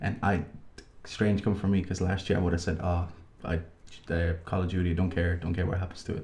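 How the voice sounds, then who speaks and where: A soft-spoken man with a very deep, low pitch, monotone, flat intonation and a somewhat breathy sound. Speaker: gaming podcast co-host. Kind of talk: casual chat. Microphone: unusually quiet on the waveform.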